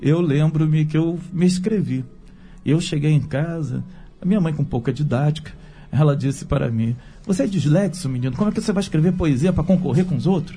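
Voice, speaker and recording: A man speaks in a normal speaking voice at a fairly quick pace, his pitch fairly high with ordinary variation. His loudness stays very even throughout. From Brazil, Rio de Janeiro. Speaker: theologian and writer. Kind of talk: radio panel discussion.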